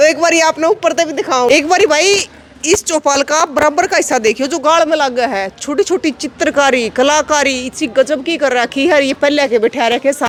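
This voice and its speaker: Speaking with a Haryanvi accent, a woman sounds animated at a moderate pace and a high pitch, with ordinary pitch variation, hardly any pauses and noticeable background noise. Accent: Haryanvi Hindi. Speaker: village video reporter. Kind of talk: walking tour with interviews. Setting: village meeting hall library. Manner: conversational, animated.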